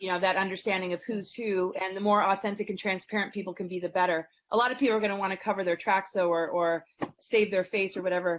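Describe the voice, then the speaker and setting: At a very fast pace, a woman speaks in a flat monotone at a medium pitch. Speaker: astrologer and spiritual teacher. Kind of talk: interview conversation; guided meditation.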